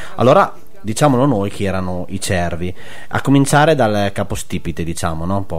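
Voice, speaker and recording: A man's fairly low voice with lively intonation at a fairly quick pace, over noticeable background noise. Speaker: web radio host. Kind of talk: radio talk show, conversational. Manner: hesitant, filler-heavy.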